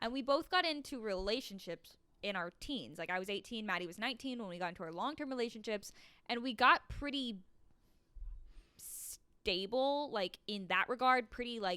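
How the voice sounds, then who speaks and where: Bright, sharp female voice with lively intonation at a moderate pace, on a very clean recording with a silent background. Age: 20s. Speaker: podcast co-host. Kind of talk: casual chat. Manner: animated.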